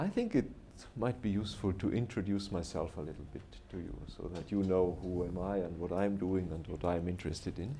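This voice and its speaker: Heard with audible room echo, a man with a German accent speaks at a very deep, low pitch in a dark, mellow, somewhat breathy tone. He talks at a fairly quick pace with ordinary pitch variation. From southern Germany, Bavaria. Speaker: professor. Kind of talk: lecture. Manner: halting, pausing for interpreter.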